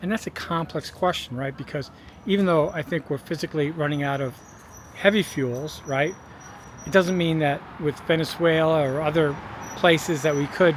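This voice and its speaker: In an ordinary speaking voice, a man with a fairly high pitch talks at a moderate pace with fairly even intonation. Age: 60s. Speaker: video blogger on fossil fuel depletion. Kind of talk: casual vlog monologue. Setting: outdoors by a street.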